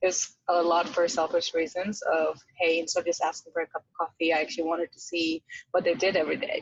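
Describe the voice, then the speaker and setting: Someone with a non-native accent talks at a fairly quick pace in a dry, close sound with no echo. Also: woman. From outside the US, moved to America at 13. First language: not English. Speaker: venture capital associate. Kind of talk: podcast interview.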